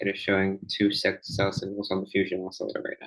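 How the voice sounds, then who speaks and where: A man speaks at a moderate pace. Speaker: stock market commentator. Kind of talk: market analysis screen-share commentary. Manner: casual, hesitant with fillers.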